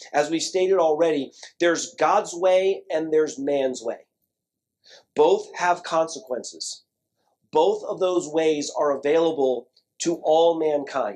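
A man has an ordinary speaking voice with a fairly high pitch. He talks at a fairly slow pace. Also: ordinary pitch variation. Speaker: pastor. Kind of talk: sermon. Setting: church.

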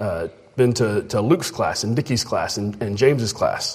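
A man with a medium-pitched, somewhat breathy voice talks with ordinary pitch variation. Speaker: preacher. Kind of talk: sermon.

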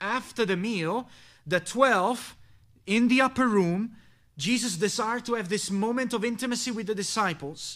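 A man with an Italian accent at a moderate pace, on a very clean recording with a silent background. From Italy. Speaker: pastor. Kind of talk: sermon.

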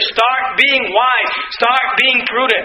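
A man's raised, projected voice at an extremely high pitch, with audible room echo and noticeable background noise. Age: 20s. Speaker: pastor. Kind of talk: sermon.

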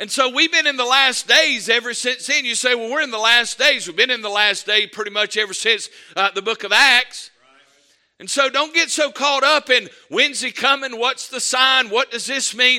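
Raising and projecting his voice, a man speaks at an extremely high pitch in a bright, sharp tone. His pace is moderate and his pitch variation ordinary. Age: 50s. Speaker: pastor. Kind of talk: sermon. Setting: church.

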